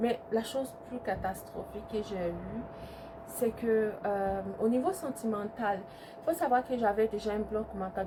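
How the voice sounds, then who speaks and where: A woman talks very slowly with noticeable background noise around her. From Ivory Coast, then Italy from age 8. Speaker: YouTuber. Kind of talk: storytime testimony. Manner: hesitant, many fillers.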